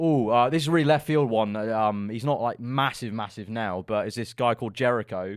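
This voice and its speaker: A man with a London accent, talking at a fairly quick pace with hardly any pauses. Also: medium pitch for a man, ordinary pitch variation. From London, England. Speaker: F1 content creator. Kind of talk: casual interview chat. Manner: casual, hesitant fillers.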